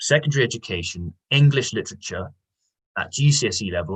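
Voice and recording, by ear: Someone reads aloud in a natural voice with lively intonation against a quiet background.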